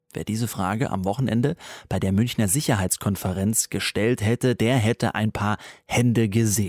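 A man at medium pitch with a normal speaking voice, moderate pace, dry, close sound with no echo, and a very clean recording with a silent background. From Baden, Pforzheim area. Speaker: radio news show host. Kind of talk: radio news magazine presenting. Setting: studio.

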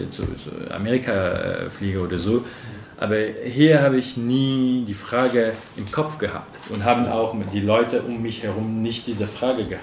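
Amid noticeable background noise and audible room echo, a man speaks at a moderate pace with a medium pitch and ordinary pitch variation. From Cameroon. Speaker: interviewee. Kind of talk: interview. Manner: halting, repeating words.

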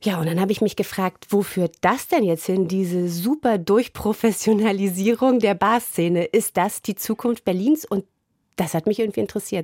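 In a very clean recording with a silent background and a dry, close sound with no echo, a woman with a dark, mellow tone speaks at a medium pitch and moderate pace with ordinary pitch variation. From East Germany. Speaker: radio editor. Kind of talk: casual chat.

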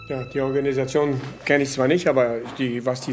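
Speech at a moderate pace, with noticeable noise behind it and audible echo from the room. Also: man. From Venezuela, German emigrant family. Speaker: expedition tour operator and interpreter. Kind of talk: interview and live interpreting. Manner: halting.

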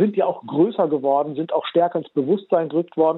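A man's voice with ordinary pitch variation. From Germany. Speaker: journalist and author. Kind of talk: radio interview.

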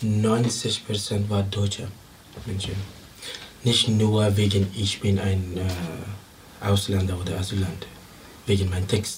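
Against noticeable background noise and audible room echo, a man with a fairly low pitch speaks in a flat monotone at a very slow pace with long, frequent pauses. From Afghanistan. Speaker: musician. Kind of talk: interview. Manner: halting.

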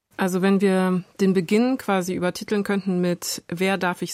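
A woman's medium-pitched voice at a very slow pace with fairly even intonation, in a very clean recording with a silent background and a dry, close sound with no echo. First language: bilingual German and French (speaking German). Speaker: podcast host. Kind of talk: interview. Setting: studio.

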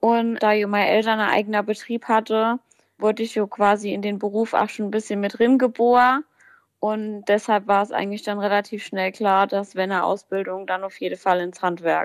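A woman speaks at a moderate pace in a medium pitch with monotone, flat intonation, on a very clean recording with a silent background. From Palatinate, Germany (near Kaiserslautern). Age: 20s. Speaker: baker and pastry chef. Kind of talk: interview answers.

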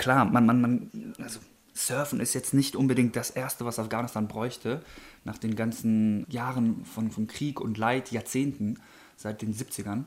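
Talking at a fairly slow pace, a man has a normal speaking voice with a medium pitch and fairly even intonation. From Germany. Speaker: professional surfer. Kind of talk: interview.

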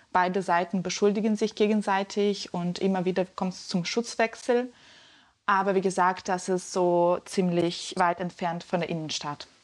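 Against a quiet background, a woman speaks at a medium pitch and moderate pace with fairly even intonation in an ordinary speaking voice. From Ukraine, Donetsk. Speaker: journalist. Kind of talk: interview.

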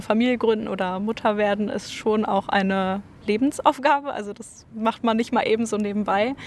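Fairly high in pitch, a woman with a normal speaking voice keeps her intonation fairly even. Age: 20s. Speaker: student. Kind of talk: street interview.

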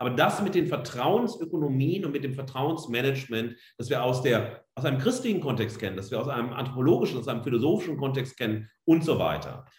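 A man talks at a very fast pace with hardly any pauses, at medium pitch with ordinary pitch variation. His voice is somewhat breathy and carries audible room echo. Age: 40s. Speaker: media studies professor. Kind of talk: lecture. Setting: online talk.

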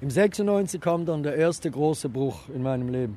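Fairly high in pitch, this man's voice has a dark, mellow tone. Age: 50s. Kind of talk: guided tour talk.

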